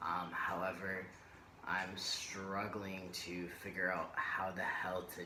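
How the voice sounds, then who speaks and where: Audible room echo surrounds a man speaking with a very deep, low pitch. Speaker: vlogger. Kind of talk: personal vlog. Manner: hesitant, many fillers.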